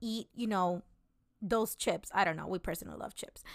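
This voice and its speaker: An animated woman speaks at a medium pitch with ordinary pitch variation, on a very clean recording with a silent background. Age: 30s. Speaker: solo podcast host. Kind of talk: casual monologue.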